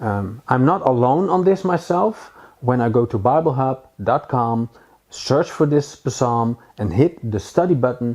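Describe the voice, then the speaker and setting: A man with a Dutch accent speaks at a medium pitch and a fairly slow pace. His intonation is lively, and the background is quiet. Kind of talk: Bible teaching. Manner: halting, many fillers.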